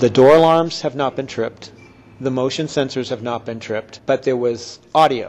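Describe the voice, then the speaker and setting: Using an ordinary speaking voice, a man at medium pitch talks at a moderate pace with fairly even intonation. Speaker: ghost tour operator. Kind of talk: interview answer.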